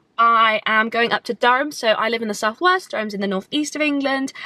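A woman's raised, projected voice at a very fast pace, in a dry sound with no echo. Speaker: vlogger. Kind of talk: casual vlog chat. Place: car. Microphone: phone near.

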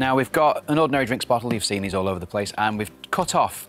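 A man talks at a fairly quick pace and medium pitch. The sound is dry with no echo, with faint music in the background. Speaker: puppeteer. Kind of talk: TV craft demonstration, guest explaining steps. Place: studio. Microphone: lapel.

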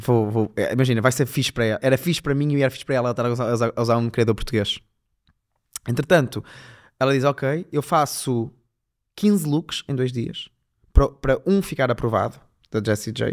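Against a quiet background, a man talks at a fairly quick pace. He uses ordinary pitch variation and takes long, frequent pauses. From northern Portugal, Famalicão; Portugal. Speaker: fashion designer; podcast guest. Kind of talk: casual chat. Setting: studio. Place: studio. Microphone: studio mic.

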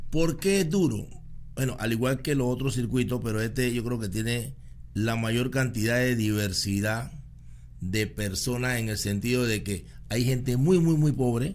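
A fairly slow-paced male voice with ordinary rises and falls in pitch. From Panama. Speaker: podcast host. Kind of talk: interview. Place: studio. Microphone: studio mic.

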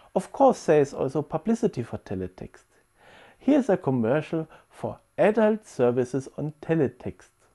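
Recorded dry and close with no echo, a man speaks at a moderate pace in a dark, mellow voice with vocal fry, fairly high in pitch and swinging very widely. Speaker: presenter. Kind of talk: lecture. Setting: video call.

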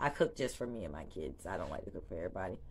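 A woman speaks with a Charleston accent. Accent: Southern US (Charleston). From US South, Charleston, South Carolina; South Carolina. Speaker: small business owner and vlogger; vlogger. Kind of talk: casual vlog introduction. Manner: animated. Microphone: phone near.

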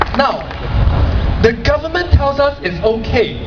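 A man speaks fairly slowly while loud background noise plays. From Singapore. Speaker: blogger. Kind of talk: protest speech. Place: stage. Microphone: pa.

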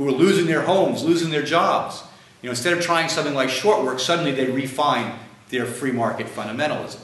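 A man's fairly high voice at a fairly quick pace, ordinary pitch variation, and audible echo from the room. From United States. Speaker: author and lecturer; author giving a lecture. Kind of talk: lecture. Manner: halting, many fillers. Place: classroom. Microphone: camera far.

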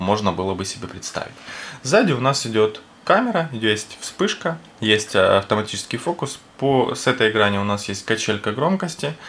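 This man's intonation is lively, and his pace is moderate. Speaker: product reviewer. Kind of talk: product review commentary. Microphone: camera far.

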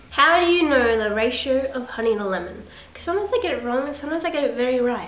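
A woman talks at a very fast pace and a high pitch. The room echo is audible. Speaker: vlogger. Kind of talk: casual vlog chat.

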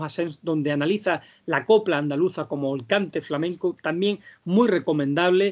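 A man talks at a fairly quick pace in a high pitch, with ordinary pitch variation. The background is quiet. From Andalusia, Vega de Granada; Andalusia. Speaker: flamenco singer and researcher; speaker. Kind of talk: lecture. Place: home room. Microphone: video call.

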